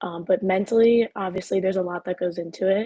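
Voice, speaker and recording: A woman speaks at a moderate pace and medium pitch in a dark, mellow tone. The sound is dry and close with no echo. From US Northeast, Long Island, New York. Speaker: college gymnast. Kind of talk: panel discussion.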